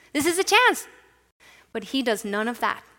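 The recording is very clean, with a silent background. A woman with a Spanish accent speaks in a bright, sharp tone. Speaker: pastor. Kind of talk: sermon. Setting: church.

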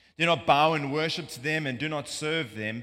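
A man with a South African accent at a moderate pace, in a very clean recording over a silent background. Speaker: preacher. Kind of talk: sermon. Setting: church.

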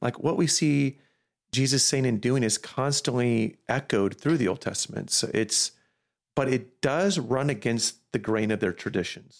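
A man with an ordinary speaking voice talks at a moderate pace with medium pitch and ordinary pitch variation. His loudness stays very even on a very clean recording with a silent background. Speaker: pastor. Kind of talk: casual chat.

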